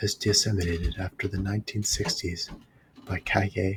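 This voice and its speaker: A soft-spoken man whispering at a moderate pace. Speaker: ASMR channel host, history reader. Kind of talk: ASMR history reading, whispered and soft spoken. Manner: whispered and soft-spoken.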